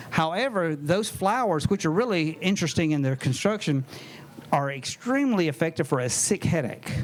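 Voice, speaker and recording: A man talks in a Southern US accent at a moderate pace. His fairly high voice has lively intonation. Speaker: herbalist. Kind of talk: lecture. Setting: tent talk with live audience and microphone. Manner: animated.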